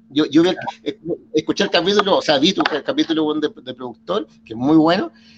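A man with a Chilean accent speaks at a fairly quick pace. His voice sits fairly high, with lively intonation. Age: 50s. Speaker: drummer and entrepreneur. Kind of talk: casual chat.

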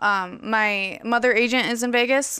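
Someone speaks with an American accent in a very clean recording with a silent background. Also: woman. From San Diego, California. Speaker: fashion model. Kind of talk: casual chat. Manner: animated.

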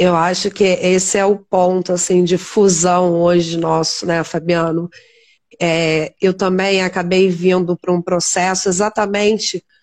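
A plain, everyday voice at a fairly slow pace. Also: woman. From Teresópolis, Rio de Janeiro state, Brazil. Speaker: nurse and live stream host. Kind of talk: interview on a live stream.

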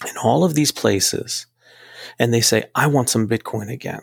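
A man with an American accent talks at medium pitch with vocal fry, in a dry, close sound with no echo. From United States. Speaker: physician assistant and crypto enthusiast. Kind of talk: casual interview.

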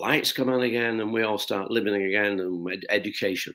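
A Lancashire accent at a moderate pace, with ordinary pitch variation. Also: man. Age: 80s+. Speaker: shoe company founder. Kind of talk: interview storytelling.

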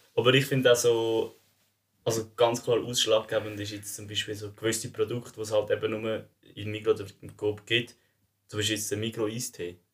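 This man talks fairly quickly, his loudness swinging widely. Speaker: student podcast co-host. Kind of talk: casual chat.

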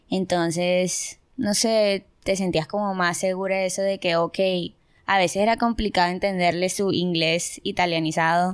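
A woman with a normal speaking voice, medium pitch, fairly even intonation, very even loudness and a fairly slow pace, on a very clean recording with a silent background. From Colombia, Barranquilla. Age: 20s. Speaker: university student. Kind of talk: casual interview.

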